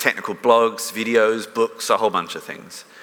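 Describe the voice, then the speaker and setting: A man's medium-pitched voice at a moderate pace, amid noticeable background noise. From London, then long in Melbourne, Australia. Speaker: technical writer. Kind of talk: conference talk. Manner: casual, filler-heavy.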